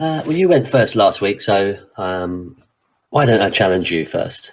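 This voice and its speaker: A fairly low-pitched man at a fairly slow pace with very wide pitch swings, on a very clean recording with a silent background. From Britain. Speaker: podcast co-host. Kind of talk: casual chat.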